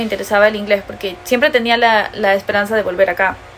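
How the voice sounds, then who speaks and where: Against noticeable background noise, a woman talks at a very fast pace with fairly even intonation. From Peru, with early US childhood. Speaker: podcast co-host. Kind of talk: casual chat.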